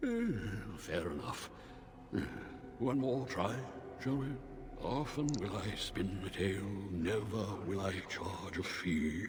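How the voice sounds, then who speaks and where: A man talks very slowly in a put-on character voice. There is clear echo and loud background noise. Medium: game stream. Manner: languid, condescending.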